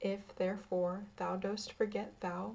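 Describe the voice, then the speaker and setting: A woman's somewhat breathy, medium-pitched voice, calm in tone, dark and mellow, with monotone, flat intonation at a fairly slow pace. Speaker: ASMR creator. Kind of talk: ASMR story reading. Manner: calm, relaxing.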